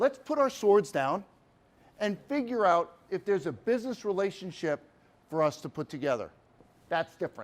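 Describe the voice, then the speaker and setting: With an East Coast US accent, a man talks in an animated tone at a high pitch, moving through very wide pitch swings at a moderate pace with long, frequent pauses. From US East Coast. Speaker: sales speaker. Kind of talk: keynote talk. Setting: stage with audience.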